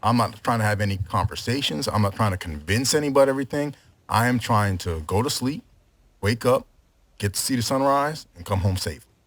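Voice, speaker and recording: A man talks fairly quickly in a normal speaking voice, pitched fairly low, with lively intonation. The recording is very clean, with a silent background. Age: 40s. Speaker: podcast guest. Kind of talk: casual chat.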